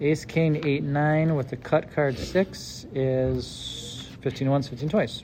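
A man's fairly high voice at a very slow pace, with fairly even intonation and noticeable background noise. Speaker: podcast host. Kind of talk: casual chat.

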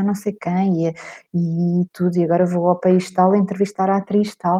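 A woman with a plain, everyday voice talks at a moderate pace and a medium pitch. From Portugal, Lisbon area (Cascais). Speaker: writer and journalist. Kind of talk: casual interview chat.

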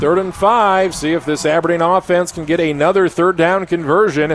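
There is noticeable background noise as a man with a high pitch talks at a moderate pace and with fairly even intonation. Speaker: radio play-by-play announcer. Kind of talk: live sports play-by-play commentary. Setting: stadium press box, radio broadcast.

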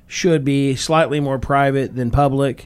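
Speaking fairly slowly, a man with an American accent has a fairly high pitch. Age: 40s. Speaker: podcast host, construction business owner. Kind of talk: casual chat. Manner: animated.

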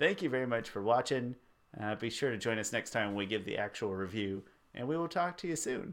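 On a very clean recording with a silent background, a man talks at a fairly quick pace and medium pitch with lively intonation. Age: 20s. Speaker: movie reaction co-host. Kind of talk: casual chat.

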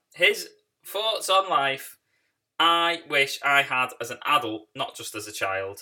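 Speaking with a British accent, a man moves at a fairly slow pace with lively intonation. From Britain. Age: 30s. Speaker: film podcast host. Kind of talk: casual solo podcast monologue.

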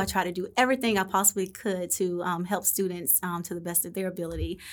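On a very clean recording with a silent background, a woman talks at a fairly quick pace in an ordinary speaking voice. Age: 40s. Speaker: elementary school teacher. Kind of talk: interview.

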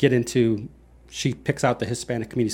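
Fairly quick delivery on a very clean recording with a silent background. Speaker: podcast co-host. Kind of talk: casual conversational podcast.

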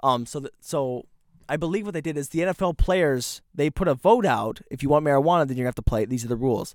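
An animated man talks very fast in a fairly high voice with lively intonation. The recording is very clean and the background silent. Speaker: podcast co-host. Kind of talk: casual chat. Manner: animated, laughs often.

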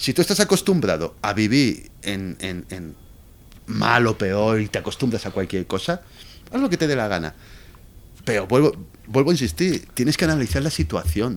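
A man at medium pitch, very wide pitch swings, long and frequent pauses, and a moderate pace. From Spain, Valencia. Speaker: Spanish expat guest. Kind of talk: casual chat.

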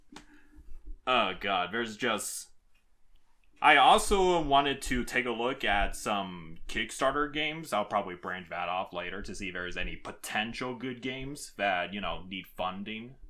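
Bright and sharp in tone, a man's medium-pitched voice carries lively intonation at a moderate pace in a very clean recording with a silent background. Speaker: YouTuber and podcast host. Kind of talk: casual chat.

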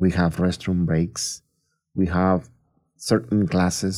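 A man with a Spanish accent, very deep and low in pitch, dark and mellow in tone, at a fairly slow pace, on a very clean recording with a silent background. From Mexico, Tampico, Tamaulipas. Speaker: school district testing coordinator. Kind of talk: interview.

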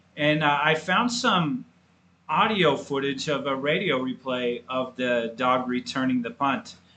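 A man speaks in a plain, everyday voice with a fairly high pitch. His intonation is lively and his pace fairly slow. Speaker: podcast co-host, college football fan. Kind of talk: casual sports podcast chat.

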